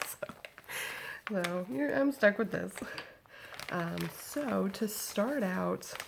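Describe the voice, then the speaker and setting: A woman speaks at a very slow pace. Background noise is noticeable. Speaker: vlogger. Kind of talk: casual chat. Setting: at home, baby in crib nearby.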